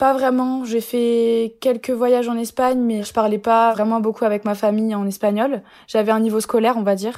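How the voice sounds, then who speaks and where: A woman's fairly high voice has a dark, mellow tone and flat, monotone intonation. She keeps a moderate pace on a very clean recording with a silent background. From Lorraine, France (Épinal, Vosges). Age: 20s. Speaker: student. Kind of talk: casual interview.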